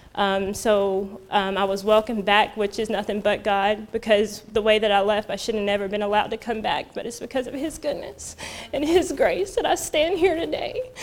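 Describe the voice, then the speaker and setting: Against noticeable background noise, a woman with an American accent speaks at a fairly high pitch with lively intonation and hardly any pauses. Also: moderate pace. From North Carolina. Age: 30s. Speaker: ministry program graduate. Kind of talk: testimony.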